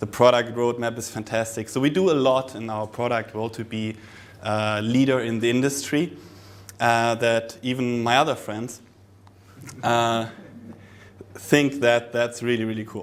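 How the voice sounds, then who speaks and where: A man with a German accent and a medium pitch speaks at a moderate pace with fairly even intonation and long, frequent pauses. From Germany. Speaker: product specialist presenter. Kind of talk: conference presentation. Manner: hesitant, many fillers.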